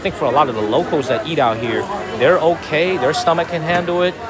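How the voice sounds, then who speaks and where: A man with a fairly high pitch, very fast pace and lively intonation, over noticeable background noise and audible room echo. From US, Chicago south side and North Carolina. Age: 30s. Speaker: live streamer. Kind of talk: live travel stream. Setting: outdoors street market. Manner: animated.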